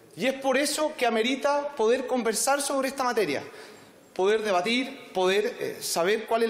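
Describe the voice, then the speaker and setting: A man talks at a moderate pace with ordinary pitch variation and audible room echo. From Chile. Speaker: politician. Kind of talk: parliamentary debate. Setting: parliament chamber. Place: hall. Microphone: podium.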